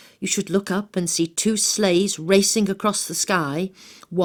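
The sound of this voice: This is an unforced reading voice with fairly even intonation.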